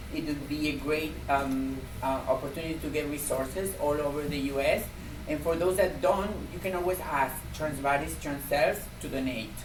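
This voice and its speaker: A woman with a strong Argentine accent, a very deep, low pitch and ordinary pitch variation at a moderate pace, amid noticeable background noise and audible room echo. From Argentina. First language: Spanish. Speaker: community health program coordinator. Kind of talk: conference presentation.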